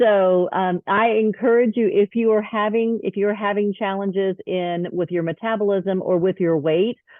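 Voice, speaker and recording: A woman speaks in a plain, everyday voice at medium pitch, with fairly even intonation. Her pace is moderate, with hardly any pauses. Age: 50s. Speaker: wellness product user sharing results. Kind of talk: testimony.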